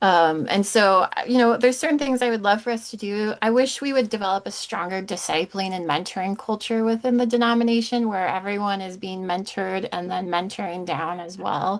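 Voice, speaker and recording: A plain, everyday voice: a woman at medium pitch talks at a fairly quick pace with hardly any pauses and ordinary pitch variation. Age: 30s. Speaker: regional church executive. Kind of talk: interview conversation.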